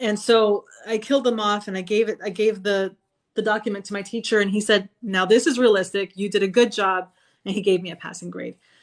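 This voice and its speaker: The speaker goes at a fairly quick pace in a Spanish accent. The background is quiet. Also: woman. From Florida, USA (moved there as a young child). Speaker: sci-fi author and army veteran. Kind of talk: casual interview chat. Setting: live video stream.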